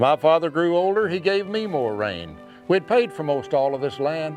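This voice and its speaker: A man's fairly high voice with a Western American accent, at a fairly slow pace, with music in the background. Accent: Western American drawl. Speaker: cowboy poet. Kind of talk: poetry reading.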